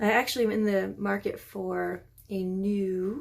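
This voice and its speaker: Soft-spoken female voice. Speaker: beauty vlogger. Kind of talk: tutorial. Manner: hesitant, many fillers.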